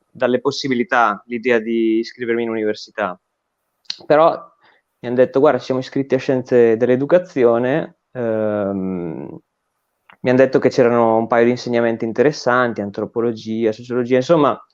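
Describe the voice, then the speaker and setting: A man with a medium-pitched voice speaks at a moderate pace with ordinary pitch variation, pausing long and often. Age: 20s. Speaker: recent graduate, political education guest. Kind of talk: interview conversation. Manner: hesitant, with fillers and repetitions.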